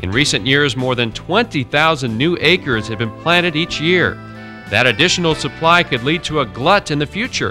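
Music plays behind a man with a fairly high pitch. His intonation is lively. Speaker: TV agriculture reporter. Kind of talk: TV news narration.

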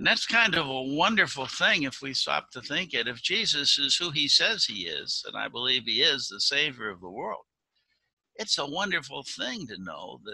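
Big swings in loudness mark this man's moderate-paced speech, recorded with a dry sound and no echo. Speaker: pastor giving children's message. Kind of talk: sermon. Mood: warm, gentle, sincere. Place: home room. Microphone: video call.

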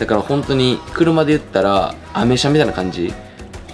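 With clear music in the background, a man talks at a moderate pace. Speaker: fitness vlogger. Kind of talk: casual vlog chat.

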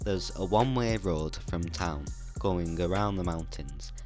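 Over clear background music, a man talks quietly at a fairly slow pace with lively intonation. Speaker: tech tutorial creator. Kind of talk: educational tutorial narration. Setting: poor microphone.

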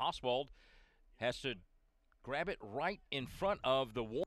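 A man speaks at a fairly slow pace with a medium pitch and lively intonation in a plain, everyday voice. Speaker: baseball play-by-play announcer. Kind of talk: live sports commentary, calling baseball plays. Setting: highlight video of a college baseball game.

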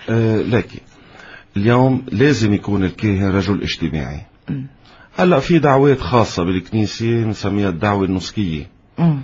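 Man with a fairly low pitch, somewhat breathy, at a fairly slow pace. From Lebanon. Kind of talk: interview. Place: studio. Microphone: studio mic.

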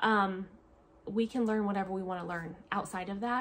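Talking at a fairly quick pace, a woman with an American accent keeps her intonation fairly even. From US Pacific Northwest. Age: 30s. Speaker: homeschooling mother and family vlogger. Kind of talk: casual vlog monologue. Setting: at home, filming a video. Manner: chatty, with frequent fillers. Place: home room. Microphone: phone near.

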